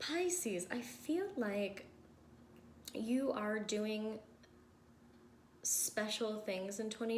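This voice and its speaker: Speech at a very slow pace carries audible room echo. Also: woman. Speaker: tarot reader. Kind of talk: tarot reading. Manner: rambling, thinking aloud.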